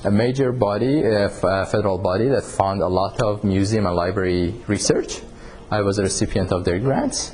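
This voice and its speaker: The speech moves at a fairly quick pace with ordinary pitch variation. Background noise is noticeable. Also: man, fairly low pitch for a man. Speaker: university researcher leading a workshop. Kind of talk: technical workshop tutorial.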